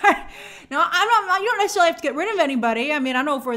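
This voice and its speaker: Over a quiet background, a woman speaks at a fairly quick pace in a raised, projected voice with very wide pitch swings. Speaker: entertainment news host. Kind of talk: commentary.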